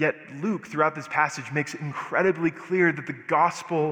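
A man speaks with an American accent at a fairly high pitch. His pace is moderate and his intonation fairly even. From US Southwest, Albuquerque, New Mexico. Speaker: guest preacher. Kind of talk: sermon. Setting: church.

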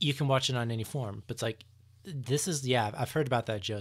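A man's somewhat breathy voice at medium pitch, with ordinary pitch variation, on a very clean recording against a silent background. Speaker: podcast co-host. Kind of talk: casual chat. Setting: staying at parents' home. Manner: casual, filler-heavy.

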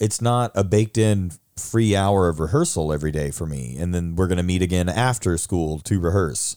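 Over a very clean recording with a silent background, a man with a very deep, low pitch and a dark, mellow tone speaks at a moderate pace with ordinary pitch variation and hardly any pauses. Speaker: theater teacher. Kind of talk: casual chat. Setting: studio.

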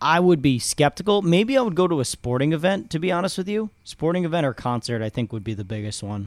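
A man races along at a very fast pace with hardly any pauses. His fairly high pitch swings very widely, on a very clean recording with a silent background. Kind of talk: casual chat.

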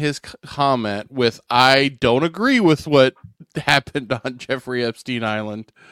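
A man talks at a fairly slow pace with a plain, everyday voice. His pitch varies in an ordinary way, and the sound is dry and close with no echo. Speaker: podcast co-host. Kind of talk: casual chat.

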